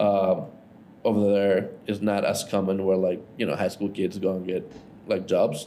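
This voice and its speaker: At a moderate pace, a man speaks in a dark, mellow tone, his fairly low voice monotone and flat. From Ecuador. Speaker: entrepreneur. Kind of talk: casual interview. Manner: casual, filler-heavy.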